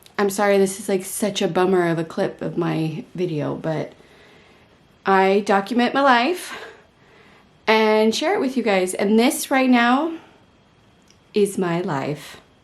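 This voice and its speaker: With an American accent, a woman at medium pitch talks fairly slowly with lively intonation. She leaves long, frequent pauses. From United States. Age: 30s. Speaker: vlogger. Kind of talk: casual vlog to camera.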